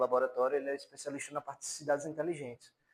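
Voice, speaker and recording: A plain, everyday voice: a man at medium pitch with fairly even intonation. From Paraíba, Brazil (João Pessoa). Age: 30s. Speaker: university lecturer. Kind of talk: lecture.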